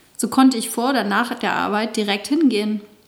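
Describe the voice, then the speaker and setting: A woman with a fairly high voice keeps a moderate pace as noticeable background noise carries on. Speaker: author reading own memoir, dance fitness instructor. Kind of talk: reading aloud of memoir chapter.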